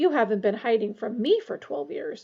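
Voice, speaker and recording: A woman puts on a growling character voice at a fairly high pitch. She keeps a moderate pace. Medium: read story. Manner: intense, menacing.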